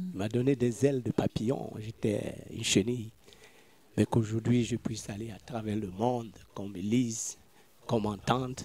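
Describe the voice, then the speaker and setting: Delivered at a moderate pace, the dark, mellow tone moves through big swings in loudness, broken by long, frequent pauses. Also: man, medium pitch for a man. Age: 60s. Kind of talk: testimony.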